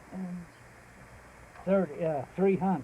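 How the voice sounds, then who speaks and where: Here a man is talking. He has a Texan accent. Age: 70s; old. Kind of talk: casual interview answer.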